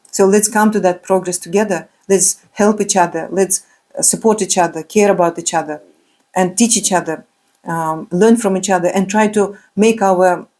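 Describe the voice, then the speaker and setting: A woman's medium-pitched voice with a non-native accent, dark, mellow tone, fairly even intonation and moderate pace. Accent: non-native English, remarked by speaker. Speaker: spiritual speaker. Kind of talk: religious motivational talk. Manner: halting, many fillers.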